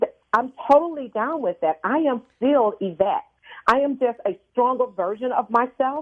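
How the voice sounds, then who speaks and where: A woman's high-pitched voice with lively intonation and an American accent. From US South. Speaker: executive coach and speaker trainer. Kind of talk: radio interview. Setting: phone call. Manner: confident, authoritative.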